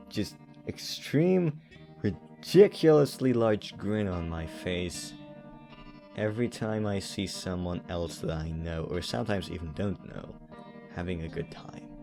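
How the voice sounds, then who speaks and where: Music plays in the background. The speech moves at a fairly slow pace. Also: man, very deep, low pitch for a man. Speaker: animator. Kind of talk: personal reflective talk to camera. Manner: hesitant, with stutters and pauses.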